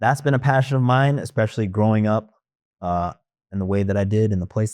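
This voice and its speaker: A man's fairly low voice, a plain, everyday voice, with ordinary pitch variation against a quiet background. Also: dry, close sound with no echo. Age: 30s. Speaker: talk show host and day trading YouTuber. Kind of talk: casual interview chat. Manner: casual, filler-heavy.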